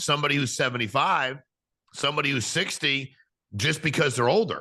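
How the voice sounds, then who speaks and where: A man with an American accent speaks in a bright, sharp tone over a quiet background. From US, New England (Connecticut). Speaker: podcast host. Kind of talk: podcast interview. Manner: fast.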